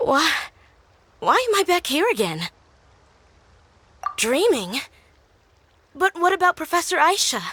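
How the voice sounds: A woman in a put-on character voice speaks slowly at an extremely high pitch, her fairly bright tone marked by big pitch swings and long, frequent pauses.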